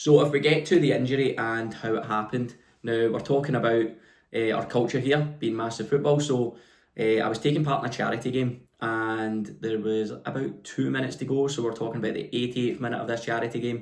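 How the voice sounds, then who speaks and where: With a Scottish accent, a man of medium pitch speaks at a fairly quick pace and with fairly even intonation. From west of Scotland. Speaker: personal trainer. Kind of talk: vlog monologue.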